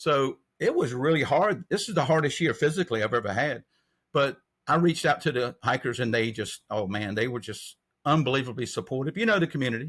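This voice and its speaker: A man talks fairly quickly in a North Carolina accent, his pitch fairly high and his intonation lively. The recording is very clean, with a silent background. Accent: US Southern (North Carolina). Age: 60s. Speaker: trail angel. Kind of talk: interview.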